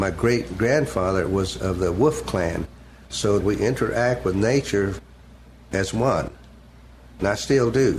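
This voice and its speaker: Speaking at a fairly slow pace with long, frequent pauses, a man with a fairly low pitch sounds somewhat breathy, his intonation lively and his loudness very even. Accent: Oklahoma. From Seminole County, Oklahoma. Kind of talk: oral history interview answer.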